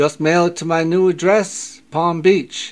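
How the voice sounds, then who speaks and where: Putting on a gruff character voice, a man speaks high-pitched and monotone, with flat intonation, at a fairly slow pace. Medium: read story.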